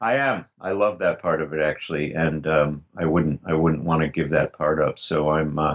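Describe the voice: Speaking with an extremely low pitch, a man keeps his intonation fairly even. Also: moderate pace.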